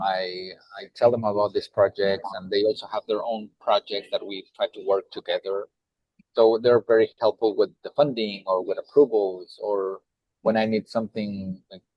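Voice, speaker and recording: The speaker has a strong Mexican accent and keeps a moderate pace. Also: man. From Mexico (Puebla). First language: Spanish. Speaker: nonprofit executive director. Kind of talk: panel discussion.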